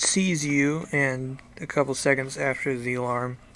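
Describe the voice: The clip is plain reading aloud. Its intonation stays fairly even.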